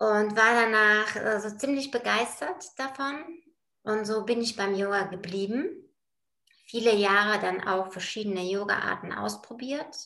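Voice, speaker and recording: Audible room echo surrounds a bright, sharp tone delivered at a fairly slow pace with ordinary pitch variation. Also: woman, fairly high pitch for a woman. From Bulgaria. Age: 40s. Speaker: project manager in construction, yoga practitioner. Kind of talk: casual interview. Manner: hesitant, many filler sounds.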